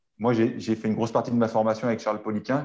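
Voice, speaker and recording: Against a quiet background, a man speaks at a very fast pace in a medium pitch. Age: 40s. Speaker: strength and conditioning coach. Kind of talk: interview. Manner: halting.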